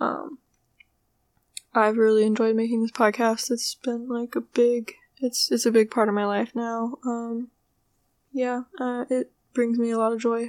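In a very clean recording with a silent background and a dry, close sound with no echo, a woman speaks quietly at a fairly slow pace with a fairly high pitch, monotone, flat intonation, and long, frequent pauses. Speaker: podcast host. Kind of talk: casual monologue. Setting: home, roommate nearby. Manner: quiet, subdued; low energy.

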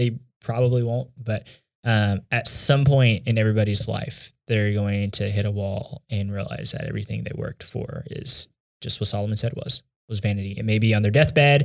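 A man in a Texan accent at a fairly low pitch, with fairly even intonation and a moderate pace, in a very clean recording with a silent background. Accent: Texan American. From Texas, Houston (Katy Cypress area). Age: 20s. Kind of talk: casual chat.

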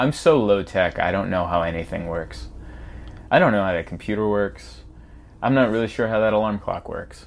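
A man with an ordinary speaking voice talks at a moderate pace, his fairly low pitch moving in lively intonation. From US, moved from Hungary at age four. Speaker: stand-up comedian. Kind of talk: casual chat.

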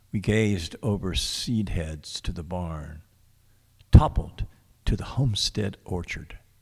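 Very slow and somewhat breathy, a man with a fairly low pitch and ordinary pitch variation speaks in big swings of loudness on a very clean recording with a silent background. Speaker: radio host. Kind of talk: live radio poetry show, casual chat. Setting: radio studio, live broadcast. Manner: hesitant, filler-heavy.

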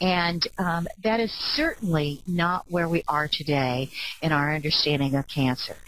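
A woman talks at a fairly slow pace with a fairly low pitch, ordinary pitch variation and very even loudness. Noticeable background noise runs under her voice. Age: 60s. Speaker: clinical psychologist and ADHD advocate. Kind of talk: webcast presentation.

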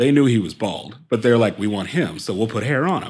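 Here is a man with an American accent and a plain, everyday voice. He speaks at a medium pitch and a fairly quick pace. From US Midwest, Columbus, Ohio. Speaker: actor. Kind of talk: interview.

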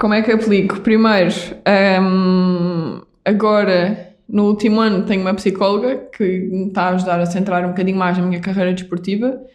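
A woman's medium-pitched, monotone voice with flat intonation, very even loudness, a moderate pace and audible room echo. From Portugal, Algarve (Vila Real de Santo António). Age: 20s. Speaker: doctor and padel athlete. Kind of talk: interview conversation.

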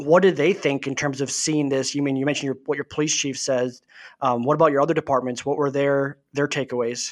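Speaking at a fairly quick pace, a man with a fairly high pitch keeps fairly even intonation on a very clean recording with a silent background. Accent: Upper Midwest. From Wisconsin, Milwaukee area. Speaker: deputy city manager and Army veteran. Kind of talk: casual chat.

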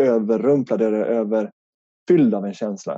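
Lively intonation marks this man's voice, with a slight northern Swedish accent. The sound is dry and close, with no echo. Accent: slight northern Swedish (Norrland) dialect. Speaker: life coach. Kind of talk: podcast interview.

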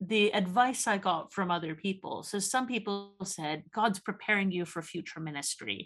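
A woman speaks with a Canadian accent in an unremarkable speaking voice of medium pitch. Her intonation is lively and her pace fairly slow. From Canada. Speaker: theology researcher and author. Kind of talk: casual interview.

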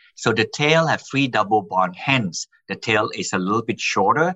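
A man at medium pitch and a moderate pace, with very wide pitch swings. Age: 60s. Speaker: scientist. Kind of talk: interview. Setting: remote call.

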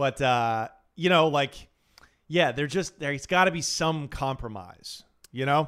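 A man's normal speaking voice, fairly high-pitched, with an American accent. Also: ordinary pitch variation, fairly slow pace. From Portland, Oregon, US Pacific Northwest. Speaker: stand-up comedian. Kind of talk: casual chat.

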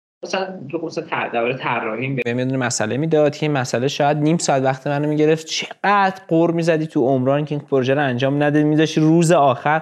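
A man's fairly high voice at a moderate pace, with ordinary pitch variation, hardly any pauses, and noticeable background noise. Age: 20s. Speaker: business graduate. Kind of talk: casual chat.

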